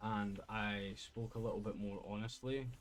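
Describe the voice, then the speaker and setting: In a Scottish accent, a man speaks at a medium pitch. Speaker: gaming streamer. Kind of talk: casual talk to camera.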